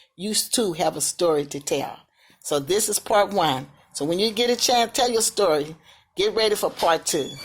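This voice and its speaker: On a very clean recording with a silent background, a woman with a slight Southern US accent speaks at a moderate pace and medium pitch with lively intonation. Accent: slight Southern country. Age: 60s. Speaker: vlogger sharing life story. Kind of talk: personal testimony. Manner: casual, repetitive.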